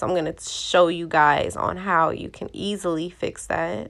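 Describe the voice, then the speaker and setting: The voice has vocal fry. The recording is very clean, with a silent background. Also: woman. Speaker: beauty YouTuber. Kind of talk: tutorial voiceover. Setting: voiceover recorded in bed. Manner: casual, relaxed.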